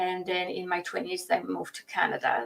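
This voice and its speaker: A woman speaks with a Polish accent. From Poland. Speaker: relationship coach. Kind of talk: podcast interview. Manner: halting, many fillers.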